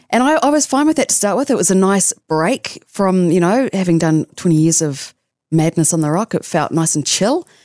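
A woman with a New Zealand accent speaks at a medium pitch and moderate pace, with very wide pitch swings and very even loudness, in a dry, close sound with no echo and a very clean recording with a silent background. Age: 40s. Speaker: radio announcer. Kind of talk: casual chat. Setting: studio.

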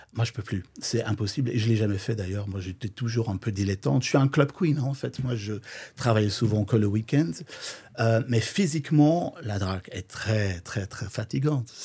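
A man speaks at a moderate pace and medium pitch with ordinary pitch variation, his voice somewhat breathy and dark and mellow in tone. The recording is very clean with a silent background. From Flanders, Belgium. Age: 50s. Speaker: drag queen and DJ. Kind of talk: casual interview.

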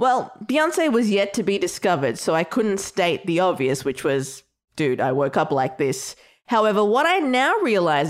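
At a moderate pace, a woman with an Australian accent speaks at a medium pitch with very wide pitch swings. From Australia (Melbourne, Sri Lankan heritage). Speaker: podcast host. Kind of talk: scripted narration.

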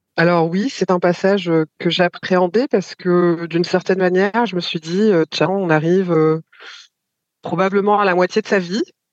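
A woman with a medium pitch speaks at a moderate pace with fairly even intonation and long, frequent pauses. The sound is dry and close, with no echo. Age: 40s. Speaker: mother sharing her experience. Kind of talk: testimony.

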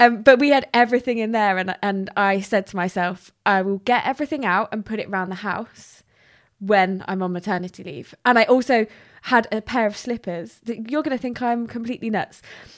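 A woman's fairly high voice with a British accent, fairly quick in pace and with ordinary pitch variation, on a very clean recording with a silent background. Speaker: podcast host. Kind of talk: scripted intro and casual interview.

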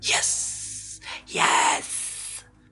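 A raspy, put-on character voice is pitched very deep and low. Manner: evil, scary.

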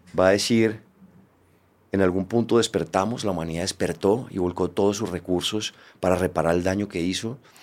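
On a very clean recording with a silent background, a man with a very deep, low pitch talks at a very fast pace with fairly even intonation. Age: 50s. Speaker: podcast host. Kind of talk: interview conversation.

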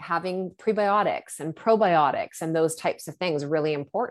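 An unremarkable speaking voice, a woman's at medium pitch, moves at a moderate pace with lively intonation in a very clean recording with a silent background. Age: 40s. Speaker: hormone educator. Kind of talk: casual chat.

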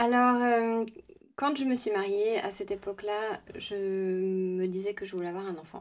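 With an unremarkable speaking voice, a woman talks at a fairly slow pace, medium in pitch, her intonation fairly even. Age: 30s. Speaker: nail technician. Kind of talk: interview.

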